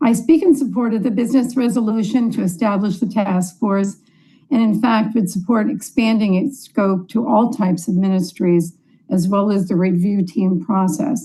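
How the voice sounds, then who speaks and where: With a somewhat breathy quality, a woman's dark, mellow tone unfolds at a moderate pace. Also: medium pitch for a woman, ordinary pitch variation. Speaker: congregation board leader. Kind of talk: floor speech at assembly.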